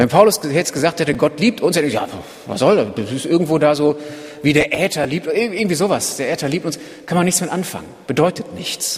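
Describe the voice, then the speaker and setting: With ordinary pitch variation and a fairly high pitch, a man talks at a fairly quick pace amid noticeable background noise. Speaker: preacher. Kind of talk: sermon. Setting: church. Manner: earnest, driven, urgent; conversational, explanatory, lightly humorous.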